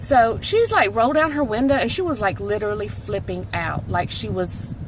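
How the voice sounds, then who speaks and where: A woman with a Southern US accent is heard amid noticeable background noise and audible room echo. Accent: country (Southern). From North Carolina, US South. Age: 30s. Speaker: vlogger. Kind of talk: casual storytelling monologue. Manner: animated.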